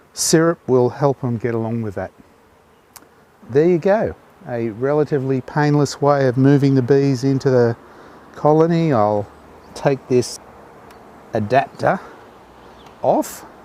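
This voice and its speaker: A man with an Australian accent at a fairly slow pace, with long, frequent pauses, ordinary pitch variation and noticeable background noise. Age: 60s. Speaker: beekeeper. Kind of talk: video narration.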